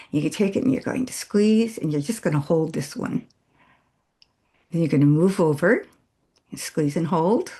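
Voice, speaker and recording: At a moderate pace, a woman with a fairly low pitch and a dark, mellow tone sounds somewhat breathy, her lively intonation broken by long, frequent pauses. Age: 80s+. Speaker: facial exercise instructor. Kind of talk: tutorial. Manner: casual, with hesitations.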